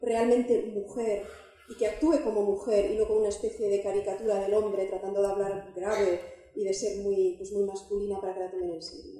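A woman at a medium pitch, with a dark, mellow tone, fairly even intonation and a fairly quick pace, in audible room echo.

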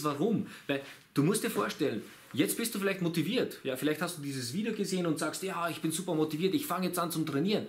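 The man's voice carries vocal fry. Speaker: fitness coach. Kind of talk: casual vlog chat. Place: shop.

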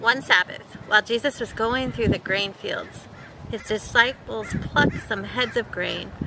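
A woman speaks with a gentle, soothing tone at a fairly high pitch, with ordinary pitch variation. The sound is dry with no echo, but the background noise is loud. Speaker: pastor. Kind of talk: guided prayer meditation with imaginative scripture visualization. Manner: gentle, slow, soothing invitational pacing; repetitive, litany-like cadence with pauses for reflection. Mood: calm, gentle, meditative. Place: garden. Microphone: camera far.

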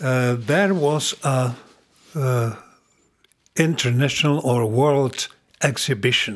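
Against a quiet background, a man of medium pitch with ordinary pitch variation speaks at a very slow pace, leaving long, frequent pauses. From Czech Republic. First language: Czech (speaking Indonesian). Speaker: former ambassador; podcast guest. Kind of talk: interview. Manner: halting, with many hesitations. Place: home room. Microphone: studio mic.

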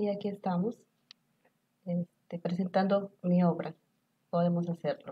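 Fairly slow and full of long, frequent pauses, a woman's somewhat breathy voice has a dark, mellow tone, a fairly low pitch and fairly even intonation. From Mexico, Tlaxcala. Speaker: author; talk show guest. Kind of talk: talk show interview. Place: studio. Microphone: lapel.

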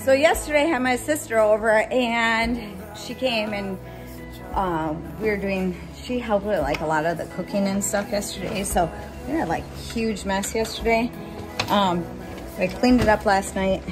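A woman's voice with ordinary pitch variation over clear music in the background. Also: moderate pace. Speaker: family vlogger. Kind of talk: casual vlog chat. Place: home room. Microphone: phone near.

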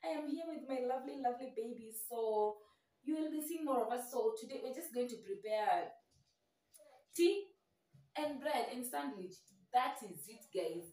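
Heard with audible room echo, a woman speaks at a moderate pace and high pitch, with big swings in loudness and long, frequent pauses. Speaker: home cooking vlogger. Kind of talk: casual vlog chat. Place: kitchen. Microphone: camera far.

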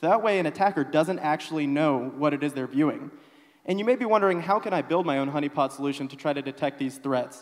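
A man with a fairly high pitch and ordinary pitch variation. He has an unremarkable speaking voice against a quiet background. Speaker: software engineer. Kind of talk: conference talk. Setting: stage with audience. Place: church. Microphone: handheld.

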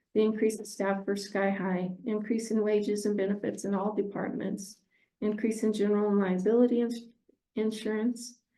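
Room echo is audible as a woman speaks with a fairly high pitch and a dark, mellow tone. Her intonation is monotone and flat, and her loudness stays very even. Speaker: city finance staff presenting report. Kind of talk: financial report at council meeting. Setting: city council meeting. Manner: fast.

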